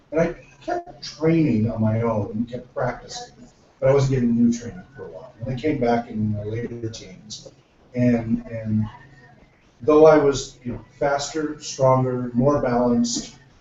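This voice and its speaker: An unremarkable speaking voice, this man's sits at medium pitch with fairly even intonation. He keeps a moderate pace, though his loudness swings a lot. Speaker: book club discussion host and role-playing game writer. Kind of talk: casual group discussion.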